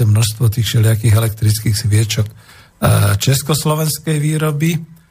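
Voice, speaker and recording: A man's somewhat breathy voice. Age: 60s. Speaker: radio host. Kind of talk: radio talk show. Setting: studio.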